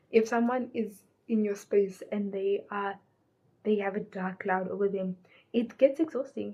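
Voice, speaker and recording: At a fairly slow pace, a woman speaks in a medium pitch with ordinary pitch variation. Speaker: lifestyle vlogger. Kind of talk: casual chat. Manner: loud.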